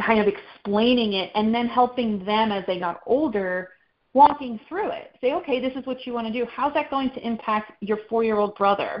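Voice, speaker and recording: A woman talks at a moderate pace. Her fairly high voice shows ordinary pitch variation. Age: 40s. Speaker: outdoor recreation advocate and parent. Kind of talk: casual chat.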